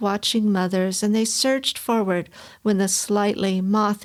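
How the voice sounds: Fairly even in intonation, this is a natural reading voice.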